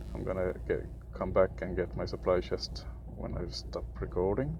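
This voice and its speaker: With music in the background, a man with a non-native accent talks at a moderate pace, his pitch swinging very widely. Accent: non-native pronunciation. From Sweden. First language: Swedish. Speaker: gaming youtuber. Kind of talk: gameplay commentary. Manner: halting, many fillers.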